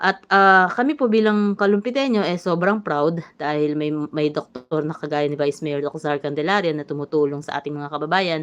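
A woman with a very deep, low pitch speaks at a moderate pace with ordinary pitch variation and hardly any pauses. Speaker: YouTube livestreamer. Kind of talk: livestream monologue. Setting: livestream. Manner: halting.

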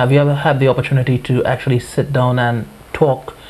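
A fairly quick pace, little pitch movement and a slightly mellow tone. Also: man.

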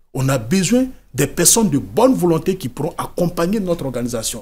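With a dark, mellow tone, a man speaks in a high pitch that swings very widely. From Côte d'Ivoire. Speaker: writer, former migrant, NGO founder. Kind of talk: TV interview. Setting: TV studio. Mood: earnest, serious storytelling. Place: studio. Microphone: studio mic.

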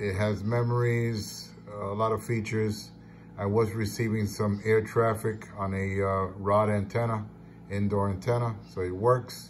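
A somewhat breathy man with a fairly low pitch and monotone, flat intonation, over light background noise. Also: fairly slow pace. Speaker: radio amateur selling gear. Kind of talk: casual show-and-tell sale description. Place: home room. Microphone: phone near.

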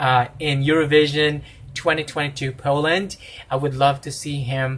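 Somewhat breathy, a man's voice comes through. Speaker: reaction video host. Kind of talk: casual vlog chat. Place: home room. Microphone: phone near.

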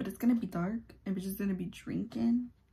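A woman whispers quietly at a fairly quick pace. Her voice is somewhat breathy. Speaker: YouTuber. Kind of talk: casual get-ready-with-me vlog. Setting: at home. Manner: quiet, near-whispering; animated, profane.

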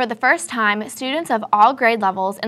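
Bright, sharp tone from a woman at a fairly high pitch, moderate pace and ordinary pitch variation. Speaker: news anchor. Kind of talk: news reading, scripted studio newscast. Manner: formal, even, brisk anchor delivery. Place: studio.

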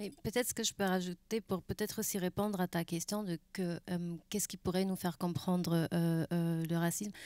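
A woman's fairly low, dark, mellow voice in a German accent, at a moderate pace with hardly any pauses and fairly even intonation, dry with no echo over a quiet background. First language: German (speaking French). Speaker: museum curator; panelist. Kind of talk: panel discussion. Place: stage. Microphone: handheld.

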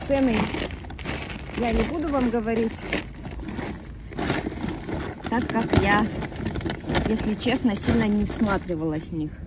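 Loud background noise fills a dry recording with no echo as a woman speaks at a fairly slow pace. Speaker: vlogger. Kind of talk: casual vlog chat. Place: street. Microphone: phone near.

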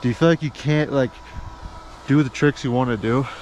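With a dry sound and no echo, a man speaks at a fairly quick pace over light background noise. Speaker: snowboard vlogger. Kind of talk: casual vlog chat. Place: open country. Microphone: phone near.

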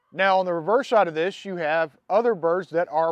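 A man with a high voice and ordinary pitch variation speaks over a quiet background, with a dry sound and no echo. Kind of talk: tutorial. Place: garden.

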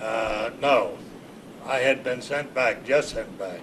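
Against noticeable background noise, a man with an American accent speaks at a fairly slow pace with ordinary pitch variation. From Ohio, US. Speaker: war veteran. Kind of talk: oral history interview. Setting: library. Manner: halting. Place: office.

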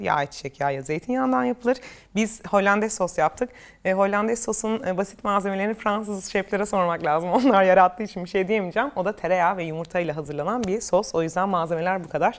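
An ordinary speaking voice, this woman talks at a fairly quick pace and medium pitch with ordinary pitch variation. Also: hardly any pauses. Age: 30s. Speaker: cooking youtuber. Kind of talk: reading and answering comments. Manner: laughing often.

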